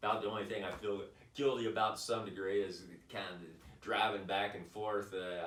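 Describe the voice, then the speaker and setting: The voice belongs to a man with a fairly low pitch. Audible room echo surrounds it. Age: 60s. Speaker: vlogger, boulderer. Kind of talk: casual monologue vlog. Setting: home office. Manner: halting, many fillers.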